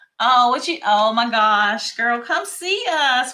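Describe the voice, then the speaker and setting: With an American accent, a woman speaks at a fairly slow pace and a fairly high pitch. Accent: Southern US, country, calmed down with age. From rural North Carolina. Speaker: craft shop owner. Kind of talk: live-stream craft tutorial. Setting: live stream. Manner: chatty, casual.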